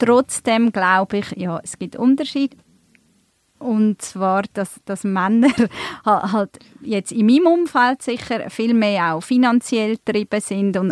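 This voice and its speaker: A woman with an ordinary speaking voice talks at a fairly slow pace, at medium pitch with ordinary pitch variation. The recording is dry and close, with no echo. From Switzerland, Emmental (Bern), born in Turkey. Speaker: events manager, podcast co-host. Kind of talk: casual chat. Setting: studio.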